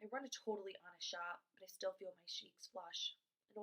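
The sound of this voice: The reading voice is unforced. Little can be heard behind it.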